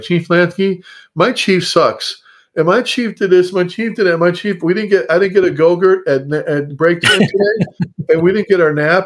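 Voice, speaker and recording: Putting on a whiny character voice, a man speaks at a high pitch and moderate pace with ordinary pitch variation. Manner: complaining, petulant.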